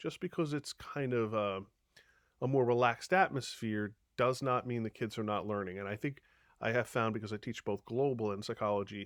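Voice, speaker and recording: Speaking with a Long Island accent at a medium pitch, a man talks at a fairly quick pace with ordinary pitch variation in a very clean recording with a silent background and a dry, close sound with no echo. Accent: Long Island New York. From Long Island, New York. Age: 50s. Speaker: high school teacher. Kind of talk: recorded presentation to parents. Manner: casual, with frequent fillers.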